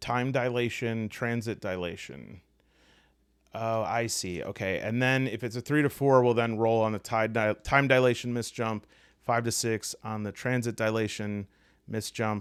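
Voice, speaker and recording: A man talks at a moderate pace with a medium pitch and fairly even intonation. The recording is very clean, with a silent background. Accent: Midwestern. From US Midwest. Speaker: tabletop game youtuber. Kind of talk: tutorial. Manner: casual, hesitant with fillers.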